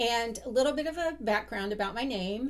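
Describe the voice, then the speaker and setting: Lively intonation and vocal fry mark this woman's speech in an American accent. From US Midwest, central Ohio. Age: 60s. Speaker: sewing vlogger. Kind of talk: casual talk to camera. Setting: home sewing room.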